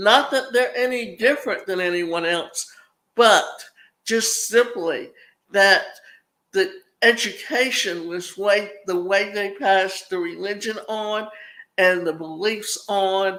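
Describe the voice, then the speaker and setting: A woman speaks very slowly with a Southern US accent, her tone bright and sharp. Her pitch sits at a medium level with ordinary variation. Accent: Southern US (Georgia). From US South, Savannah, Georgia. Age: 70s. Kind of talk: podcast monologue.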